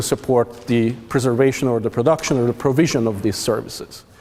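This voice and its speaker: The speech has fairly even intonation over noticeable background noise. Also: man. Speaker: forestry researcher presenting at a workshop. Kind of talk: conference presentation. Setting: stage with audience. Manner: loud; halting, many fillers and restarts.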